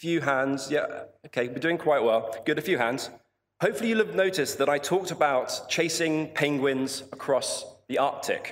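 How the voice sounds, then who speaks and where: A man's fairly high voice in a southern English accent, very even in loudness, at a moderate pace with ordinary pitch variation. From southern England, Portsmouth. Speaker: polar explorer. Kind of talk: commencement speech. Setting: stage with audience.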